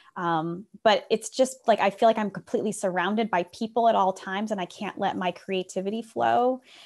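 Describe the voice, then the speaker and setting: Speaking at a fairly quick pace with hardly any pauses, a woman with an American accent uses a plain, everyday voice at a medium pitch with ordinary pitch variation, on a very clean recording with a silent background. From US Midwest, rural Northwest Ohio. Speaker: speaker and business founder. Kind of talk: podcast interview conversation.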